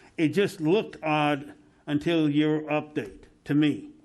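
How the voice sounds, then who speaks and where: This man speaks with a fairly high pitch and an American accent. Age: 60s. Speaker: tourism board member. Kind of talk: public meeting discussion. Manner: halting.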